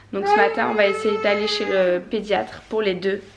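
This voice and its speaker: Noticeable background noise behind a woman with a fairly high pitch, at a moderate pace. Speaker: family vlogger. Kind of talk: casual vlog. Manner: casual, hesitant.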